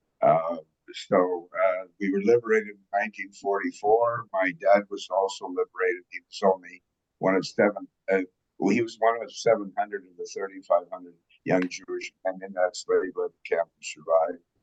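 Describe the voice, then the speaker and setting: Big swings in loudness at a moderate pace. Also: man, dry, close sound with no echo. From Canada, Saskatchewan farm (born Romania). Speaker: Holocaust survivor, retired pilot and businessman. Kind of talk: interview, personal history. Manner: halting, many fillers.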